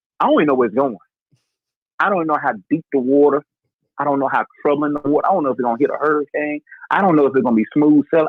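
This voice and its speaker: A man talks in an animated tone with an American accent. His pitch is fairly high. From North Carolina. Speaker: podcast host. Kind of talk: casual chat.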